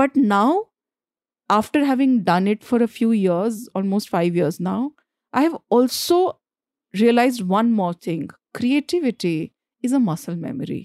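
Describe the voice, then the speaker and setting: Her fairly high voice swings very widely in pitch as this woman talks at a fairly slow pace with long, frequent pauses, in a dry, close sound with no echo. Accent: Bihar. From Jharkhand, India. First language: Bhojpuri. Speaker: screenwriter. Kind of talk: casual interview conversation.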